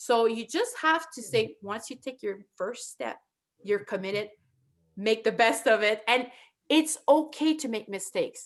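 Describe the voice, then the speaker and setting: In a strong French accent, a woman talks with lively intonation at a fairly high pitch. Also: fairly slow pace. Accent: thick French. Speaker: internet show host. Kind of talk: casual chat.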